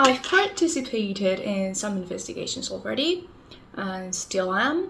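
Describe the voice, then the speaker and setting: Heard with audible room echo, a woman talks at a fairly slow pace with big swings in loudness. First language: Spanish. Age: 20s. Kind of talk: casual vlog talk.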